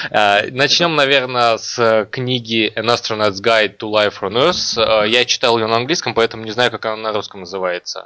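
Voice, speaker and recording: A plain, everyday voice, this man speaks at medium pitch and a moderate pace with ordinary pitch variation and hardly any pauses. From Kazakhstan, Almaty. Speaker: podcast host. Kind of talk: casual chat.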